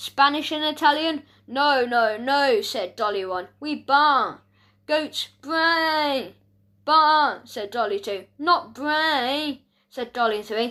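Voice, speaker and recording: A woman's high-pitched, put-on character voice at a very slow pace. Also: very clean recording, silent background. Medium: read story. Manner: agreeable, simple.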